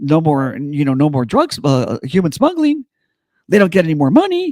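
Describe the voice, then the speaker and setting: With an American accent, a man speaks in an animated tone at a moderate pace. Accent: Mexican Southwestern. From US Southwest, Chicano background. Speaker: political podcast co-host. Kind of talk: casual political chat. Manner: animated, repetitive stammering starts.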